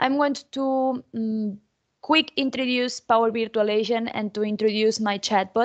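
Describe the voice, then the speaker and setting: Against a quiet background, a woman with a Spanish accent speaks at a fairly high pitch with fairly even intonation. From Spain. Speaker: technology conference speaker; conference speaker. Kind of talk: conference presentation. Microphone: video call.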